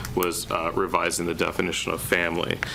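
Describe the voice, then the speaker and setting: Noticeable background noise sits beneath a man's voice. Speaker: city planning director. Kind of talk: public meeting presentation. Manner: monotone.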